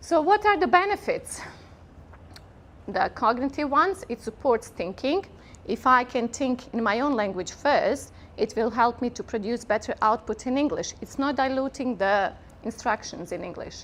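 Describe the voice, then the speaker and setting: With a Bosnian accent, this speaker keeps a moderate pace while the pitch swings very widely. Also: woman, high pitch for a woman. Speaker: workshop presenter, linguist. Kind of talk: conference workshop talk.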